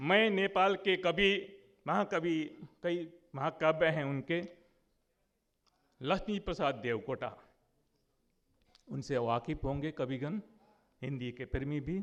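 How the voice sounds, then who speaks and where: A man speaks with a bright, sharp tone at a fairly high pitch. His pitch swings very widely, broken by long, frequent pauses. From India, West Bengal (Jalpaiguri district). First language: Nepali (speaking Hindi). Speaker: conference speaker on literature. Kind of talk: conference speech.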